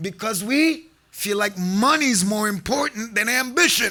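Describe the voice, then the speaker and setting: With an extremely high pitch, a man uses a raised, projected voice and an animated tone. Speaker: sheikh / preacher. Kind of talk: sermon. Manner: loud.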